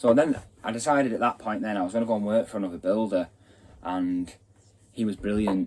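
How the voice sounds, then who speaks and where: A man with a Mancunian accent, fairly low in pitch, at a fairly quick pace with ordinary pitch variation and long, frequent pauses. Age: 20s. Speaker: builder and channel host. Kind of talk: casual vlog introduction.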